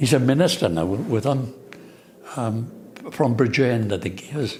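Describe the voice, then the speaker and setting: A man at medium pitch in a Swansea accent, at a moderate pace with ordinary pitch variation and audible room echo. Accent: Welsh English (Swansea). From Wales, Swansea. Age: 80s+. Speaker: asbestos compensation campaigner. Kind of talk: interview. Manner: halting, repetitive.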